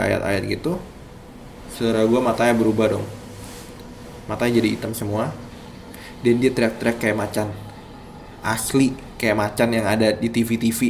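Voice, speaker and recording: This man talks at a moderate pace with fairly even intonation. His pitch sits in the medium range. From East Java, Indonesia. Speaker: storyteller sharing a personal experience. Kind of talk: personal horror story narration. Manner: casual, conversational.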